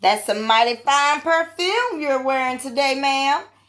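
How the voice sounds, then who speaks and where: A woman speaks in a put-on character voice with a high pitch. Her pitch varies in an ordinary way at a moderate pace. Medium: read story. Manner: gentle, courteous.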